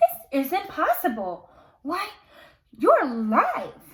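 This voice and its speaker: Putting on a squeaky character voice at an extremely high pitch, a woman speaks very slowly with very wide pitch swings. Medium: read story.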